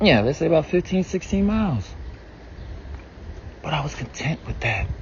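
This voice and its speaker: A man with an American accent speaks at a moderate pace and a fairly high pitch. His intonation is lively, with noticeable background noise. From US South, South Carolina. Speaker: vlogger. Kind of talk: casual monologue. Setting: outdoors, walking. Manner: casual, conversational.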